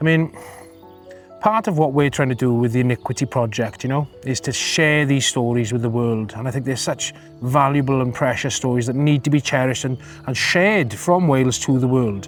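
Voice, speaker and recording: Over music in the background, a man with a medium pitch speaks at a fairly quick pace. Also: ordinary pitch variation. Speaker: interviewer, filmmaker. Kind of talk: interview questions.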